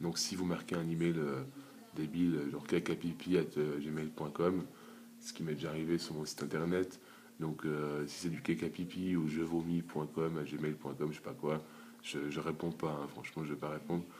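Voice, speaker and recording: A quiet man's voice, very deep and low, with fairly even intonation. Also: moderate pace. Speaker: YouTuber app developer. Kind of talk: screen-recorded tutorial. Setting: at home, early morning. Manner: quiet, holding back volume.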